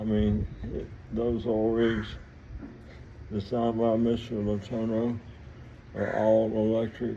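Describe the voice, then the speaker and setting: Pausing long and often, a man with a strong Southern US accent talks at a fairly slow pace and medium pitch in monotone, flat intonation. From US South, Mississippi (Vicksburg). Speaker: vlogger telling life story. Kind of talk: personal storytelling monologue. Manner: halting, rambling with repetitions.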